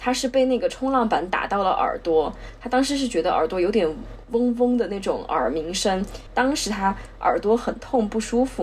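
Noticeable background noise is present. Over it, a woman's intonation rises and falls in a lively way. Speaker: podcast co-host. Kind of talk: casual chat.

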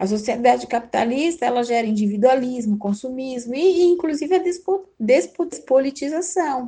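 A woman's high-pitched voice with a dark, mellow tone, lively intonation and a moderate pace. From São Paulo city, Brazil. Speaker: teacher and political candidate. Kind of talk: interview.

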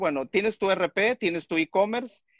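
The sound is dry and close, with no echo. A man with a high pitch speaks at a fairly slow pace with lively intonation. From Mexico, Chiapas. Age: 50s. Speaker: software and digital transformation consultant. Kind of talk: casual chat.

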